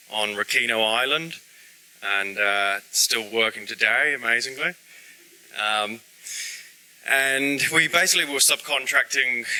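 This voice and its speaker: A man with a British accent at medium pitch, fairly slow, with long, frequent pauses, ordinary pitch variation and noticeable background noise. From UK. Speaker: solar company founder. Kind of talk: webinar presentation. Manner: hesitant, many fillers.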